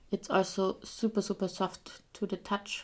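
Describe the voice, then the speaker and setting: In a very clean recording with a silent background, a woman with a non-native accent speaks fairly slowly at medium pitch. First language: not English. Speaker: beauty youtuber. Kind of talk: casual product showcase. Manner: hesitant, with fillers.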